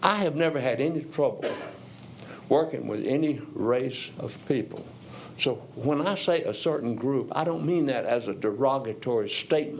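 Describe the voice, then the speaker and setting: With audible room echo around him, a man speaks at a moderate pace in a fairly high pitch with ordinary pitch variation. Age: 70s. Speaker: retired educator, public commenter. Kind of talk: public comment speech.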